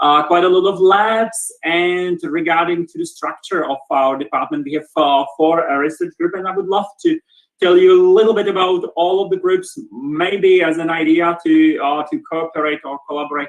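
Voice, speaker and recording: In a Czech accent, a man speaks at a moderate pace with hardly any pauses, using a high pitch and ordinary pitch variation. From Czech Republic, Brno. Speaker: professor, department head. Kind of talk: lecture. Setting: video call. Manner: halting, many repetitions.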